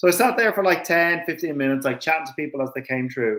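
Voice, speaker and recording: The speaker has an Irish accent. Pitch moves with ordinary variation. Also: man. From Ireland, Dublin area. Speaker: racing driver. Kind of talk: casual chat. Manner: animated.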